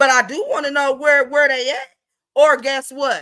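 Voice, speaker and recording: Raising and projecting her voice, a woman speaks at a moderate pace with a high pitch and a bright, sharp, animated tone. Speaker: livestream gossip commentator. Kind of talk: casual livestream commentary.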